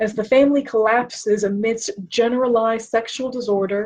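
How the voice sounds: A woman speaks at a moderate pace with fairly even intonation, a fairly high pitch and a slightly mellow tone.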